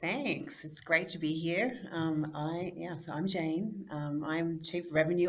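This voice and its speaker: A woman's fairly low-pitched voice with an Australian accent and fairly even intonation. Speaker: software company executive and co-founder. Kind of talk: casual interview.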